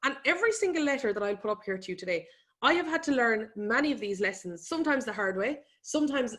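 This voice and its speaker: Speaking very fast with an Irish accent, a woman keeps her intonation lively. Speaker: economist and business speaker. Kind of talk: webinar presentation. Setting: online webinar.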